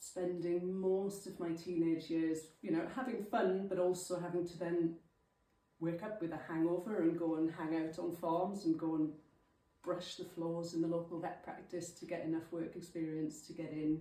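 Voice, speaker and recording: The speaker has a South Welsh accent, a moderate pace and a monotone, flat intonation. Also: woman, fairly low pitch for a woman. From South Wales, Llanelli. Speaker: farm vet and lecturer. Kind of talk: talk to a local club. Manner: casual, filler-heavy.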